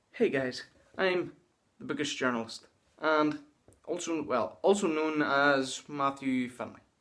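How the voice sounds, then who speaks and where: The voice carries a Northern Irish accent with ordinary pitch variation. It moves at a fairly slow pace with long, frequent pauses. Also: man, fairly high pitch for a man. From Northern Ireland. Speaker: booktuber. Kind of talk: casual vlog monologue. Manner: halting.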